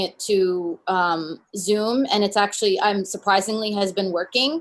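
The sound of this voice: A woman at a medium pitch, with fairly even intonation and a moderate pace.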